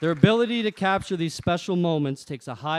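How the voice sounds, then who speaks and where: Lively intonation marks the way this man speaks. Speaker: groom. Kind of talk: wedding speech. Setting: wedding reception. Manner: reading from phone.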